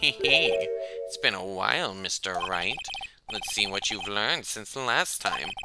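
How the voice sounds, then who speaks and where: Over clear background noise, a man uses a put-on character voice at a fairly low pitch and a fairly slow pace. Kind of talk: courtroom speech. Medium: game stream.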